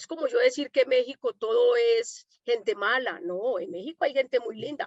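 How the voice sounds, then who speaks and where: A woman's high voice with a Colombian accent, lively intonation and big swings in loudness, in a dry, close sound with no echo. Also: moderate pace. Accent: Colombian, still noticeable. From Colombia, Medellín. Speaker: domestic worker and activist. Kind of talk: panel conversation. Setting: online conference.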